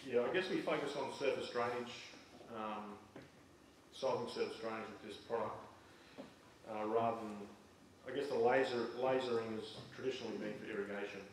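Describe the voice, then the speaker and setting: A man with an Australian accent talks at a medium pitch and a fairly quick pace, with long, frequent pauses, noticeable background noise and audible room echo. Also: ordinary pitch variation. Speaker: farm software presenter. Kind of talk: presentation to audience.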